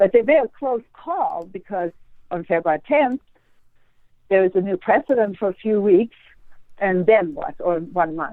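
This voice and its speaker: A woman speaks with lively intonation and a slight Swedish accent, leaving long, frequent pauses. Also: medium pitch for a woman, moderate pace. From Sweden. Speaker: astrologer. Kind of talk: interview conversation.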